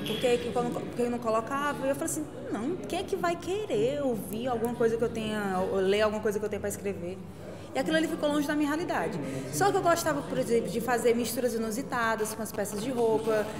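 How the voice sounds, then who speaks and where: Someone speaks at a very fast pace over music in the background. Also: woman. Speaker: interviewee. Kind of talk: interview answer. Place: cafe.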